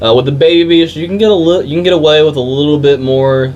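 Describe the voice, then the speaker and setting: A man talks very fast with an American accent over noticeable background noise. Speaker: vape shop employee. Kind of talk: product tutorial. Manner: stuttering; casual, filler-heavy.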